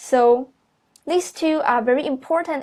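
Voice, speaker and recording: A woman with a Chinese accent and ordinary pitch variation, against a quiet background. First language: Mandarin Chinese. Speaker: university student applying for teaching job. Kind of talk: video resume presentation. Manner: halting, with many fillers.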